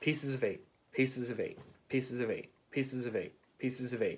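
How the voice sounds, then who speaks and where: A man talks at a fairly quick pace in a medium pitch. He uses a put-on, robotic character voice. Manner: repetitive, mechanical squawking.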